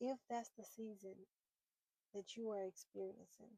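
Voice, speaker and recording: A woman speaks fairly slowly in a flat monotone, her fairly high, somewhat breathy voice dark and mellow in tone, with a dry, close sound and no echo. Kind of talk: personal faith talk to camera. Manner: halting, repeating words.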